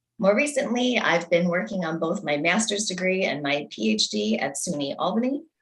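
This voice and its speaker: Speaking at a moderate pace in an American accent, a woman uses a fairly low pitch with vocal fry and very wide pitch swings. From US Northeast. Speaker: election candidate. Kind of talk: candidate statement. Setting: video call.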